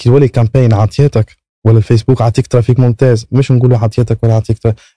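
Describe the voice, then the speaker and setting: This man has a dark, mellow tone at medium pitch, somewhat breathy, with fairly even intonation. He speaks at a fairly quick pace in a dry, close sound with no echo. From Tunisia. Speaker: affiliate marketer. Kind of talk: podcast interview.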